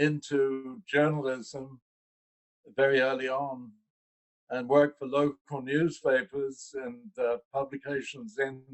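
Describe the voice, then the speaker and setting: A man speaks very slowly with a London accent. His pitch is fairly high. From London, England. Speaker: investor relations executive. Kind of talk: interview.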